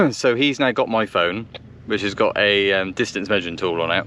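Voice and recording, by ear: A man speaks at a fairly low pitch with a fairly bright tone. His pace is moderate, and his pitch variation is ordinary.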